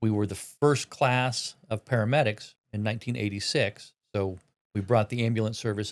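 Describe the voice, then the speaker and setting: A man with a Midwestern American accent speaks at a moderate pace in a fairly low, monotone voice with flat intonation. The recording is very clean, with a silent background. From Indiana, Newton County. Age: 60s. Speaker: county coroner. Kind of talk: interview. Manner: halting.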